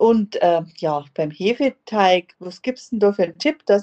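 Here is an ordinary speaking voice from a woman at a medium pitch. She talks at a fairly slow pace with lively intonation. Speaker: podcast host. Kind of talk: interview.

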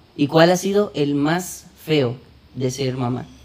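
A man's animated voice with ordinary pitch variation, set against noticeable background noise. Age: 20s. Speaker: podcast host. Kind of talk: casual chat.

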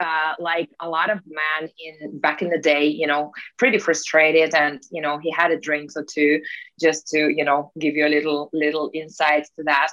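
With a Russian accent, a woman talks at a moderate pace in a very deep, low pitch and a bright, sharp tone. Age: 30s. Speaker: peak performance coach. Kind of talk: casual interview.

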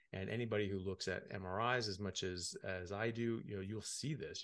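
A man speaks at a fairly low pitch. His pitch variation is ordinary. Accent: American. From United States. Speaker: medical doctor. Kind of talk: interview.

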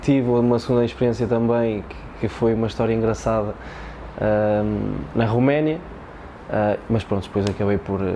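Against noticeable background noise and audible room echo, the speaker keeps a moderate pace and fairly even intonation, with long, frequent pauses. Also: man, medium pitch for a man. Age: 20s. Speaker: footballer. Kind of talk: casual chat. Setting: stadium.

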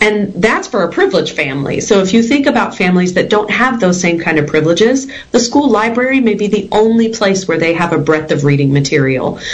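With an American accent, a woman talks at a medium pitch with very wide pitch swings. Noticeable background noise and audible room echo fill the recording. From Texas. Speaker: educator and school board candidate. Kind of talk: interview.

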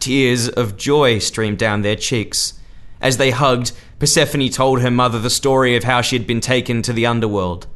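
Someone reads a passage aloud. They do so in a natural voice.

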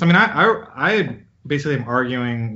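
This man has an unremarkable speaking voice and keeps a moderate pace. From US, child of Indian immigrants. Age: 40s. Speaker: scientist and physician. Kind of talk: interview.

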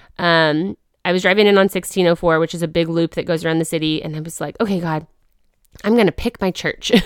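In a Midwestern accent, a woman talks with fairly even intonation, the sound dry and close with no echo on a very clean recording with a silent background. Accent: General American (Midwest). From Wichita, Kansas. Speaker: podcast co-host. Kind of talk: testimony. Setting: studio.

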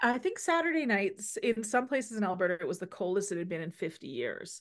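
With an unremarkable speaking voice, a woman talks at a moderate pace with lively intonation against a quiet background. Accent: Canadian. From Saskatchewan, Canada. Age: 50s. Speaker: podcast host, healthcare practitioner. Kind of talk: casual chat.

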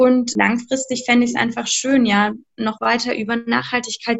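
A woman speaks in a fairly high pitch. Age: 30s. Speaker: art educator and author. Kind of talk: interview.

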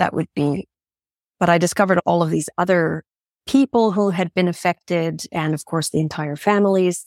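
An ordinary speaking voice with a Canadian accent moves at a moderate pace with ordinary pitch variation, recorded very cleanly over a silent background with a dry, close sound and no echo. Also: woman, fairly low pitch for a woman. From Canada. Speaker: journalist and TV presenter. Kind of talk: interview.

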